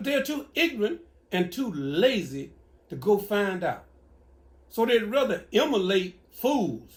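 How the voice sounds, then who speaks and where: In a Louisiana accent, a man speaks with a high pitch. He talks at a fairly slow pace with very wide pitch swings. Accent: Southern US (Louisiana). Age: 70s. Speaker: elder giving advice. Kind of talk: casual Q&A.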